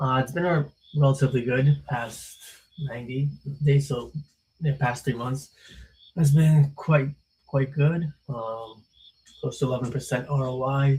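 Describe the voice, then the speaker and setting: At a fairly slow pace with long, frequent pauses, a man speaks in a fairly high, somewhat breathy voice with a dark, mellow tone and flat, monotone intonation. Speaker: trading streamer. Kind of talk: live stream market commentary. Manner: hesitant, many fillers.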